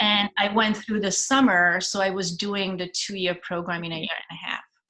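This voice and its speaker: Speaking with a Hungarian accent at a moderate pace, a woman has a medium pitch, fairly even intonation and big swings in loudness. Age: 50s. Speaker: stage actress. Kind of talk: casual interview chat.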